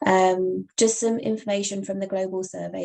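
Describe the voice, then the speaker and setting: At a moderate speed, a woman talks in a British accent. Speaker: webinar host for patient nonprofit. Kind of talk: online presentation. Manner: casual, filler-heavy.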